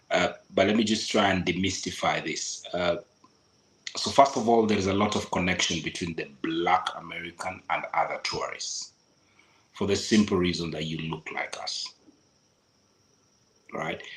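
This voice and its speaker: A man speaks with a Kenyan accent. His pauses are long and frequent. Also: moderate pace. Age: 40s. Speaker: local guide giving travel advice. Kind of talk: podcast interview.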